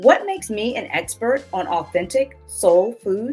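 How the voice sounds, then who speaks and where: With music playing in the background, a woman with an American accent speaks fairly slowly in an upbeat tone. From Southern United States. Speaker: cookbook author and food blogger; podcast host. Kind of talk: podcast intro.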